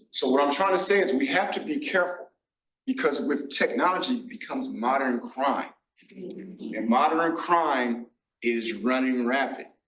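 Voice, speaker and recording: This man has an American accent and a fairly high pitch. He speaks at a moderate pace with very wide pitch swings. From Los Angeles, US. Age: 60s. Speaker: nonprofit financial literacy worker, panelist. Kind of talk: panel discussion. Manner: animated.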